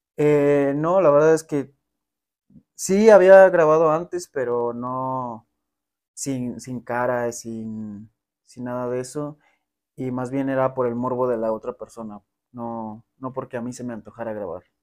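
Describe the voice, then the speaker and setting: A man talks at a fairly slow pace with ordinary pitch variation. His loudness swings widely. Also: quiet background. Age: 20s. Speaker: adult content creator. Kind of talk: interview. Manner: halting. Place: home room. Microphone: lapel.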